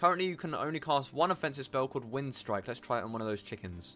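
Lively intonation carries this natural reading voice along.

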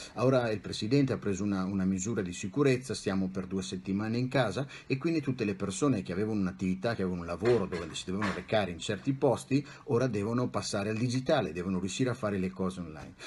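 A man's very fast, somewhat breathy delivery at a fairly low pitch, lively in intonation with hardly any pauses, over light background noise. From Italy, Bologna; Italy. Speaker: psychologist and life coach; life coach. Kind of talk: interview. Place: home room. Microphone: webcam.

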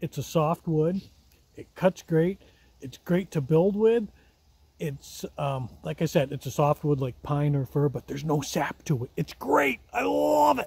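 A man's somewhat breathy voice comes through as a dry sound with no echo. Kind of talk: casual vlog chat. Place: forest. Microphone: phone near.

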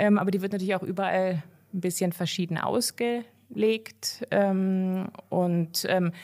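At a fairly slow pace, a woman talks with a medium pitch and fairly even intonation. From western Germany, near Cologne. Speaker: veterinarian. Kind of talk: interview.

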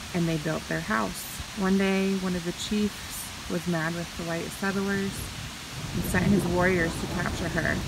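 A woman speaks at a fairly slow pace. The sound is dry with no echo, and loud background noise runs under it. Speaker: travel vlogger. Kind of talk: reading a sign aloud, paraphrasing. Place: forest. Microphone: phone near.

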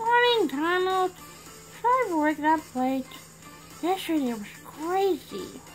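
In a cartoonish character voice with extremely high pitch, the speaker goes at a fairly slow pace with long, frequent pauses while clear music plays in the background. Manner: sweet, flustered.

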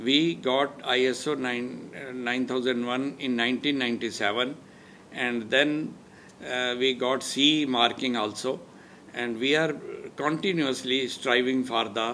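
A man speaks at a very slow pace with fairly even intonation over light background noise. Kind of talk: interview answer. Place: home room. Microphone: lapel.

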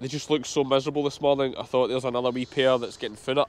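A man talks very fast with a strong Scottish accent and a fairly high pitch. The sound is dry, with no echo. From Scotland, Ayrshire; Scotland. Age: 30s. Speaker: sheep farmer. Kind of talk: farm vlog. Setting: outdoors. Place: farm machine. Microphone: lapel.

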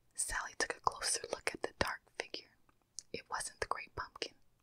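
A soft-spoken woman whispers. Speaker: storyteller. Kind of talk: soft story reading, ASMR-style. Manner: soft close-mic whispered storytelling. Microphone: studio mic.

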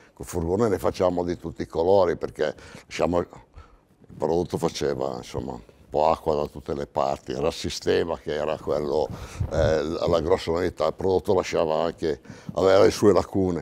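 A man with a very deep, low pitch and a dark, mellow tone talks at a fairly quick pace with vocal fry, ordinary pitch variation, big swings in loudness and long, frequent pauses. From Italy. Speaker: paint sales veteran. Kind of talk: testimony. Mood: relaxed, anecdotal. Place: studio.

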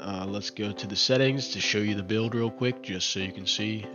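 The pitch rises and falls in an ordinary way. Behind the voice, music is playing. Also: man. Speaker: tech tutorial YouTuber. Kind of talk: screen-recording tutorial talk. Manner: casual, hesitant.

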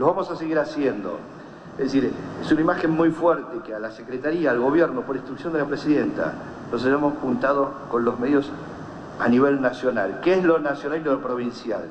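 A fairly quick pace with ordinary pitch variation, audible room echo and light background noise. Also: man, fairly high pitch for a man. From Argentina. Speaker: government communications official. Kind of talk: press statement to reporters. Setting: speaking to media at an event. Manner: halting, with repetitions.

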